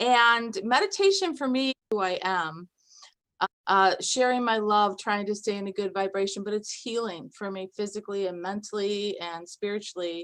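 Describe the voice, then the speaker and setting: A woman talks in a normal speaking voice at a moderate pace, with medium pitch and ordinary pitch variation. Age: 60s. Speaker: meditation participant. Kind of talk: sharing testimony.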